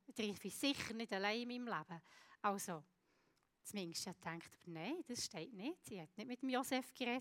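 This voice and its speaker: The speaker uses lively intonation at a moderate pace. The sound is dry and close, with no echo. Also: woman, fairly high pitch for a woman. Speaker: preacher. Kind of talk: sermon. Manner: halting.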